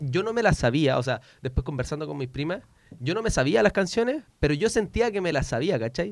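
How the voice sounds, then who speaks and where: A man rattles along at a very fast pace, his fairly high voice carrying lively intonation. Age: 20s. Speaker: student radio co-host. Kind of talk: casual chat.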